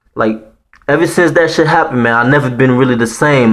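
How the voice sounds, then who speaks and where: A man with a slight Haitian accent speaks at medium pitch and a fairly quick pace. His tone is animated and his intonation lively. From Haiti, Port-au-Prince. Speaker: storyteller vlogger. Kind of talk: personal story telling. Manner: animated, casual slang-heavy.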